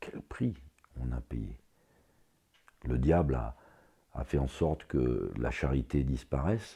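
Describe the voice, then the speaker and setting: Very slow and full of long, frequent pauses, the voice has a dark, mellow tone with vocal fry. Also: man, very deep, low pitch for a man, ordinary pitch variation. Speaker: religious commentator on YouTube. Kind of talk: religious commentary monologue. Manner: halting.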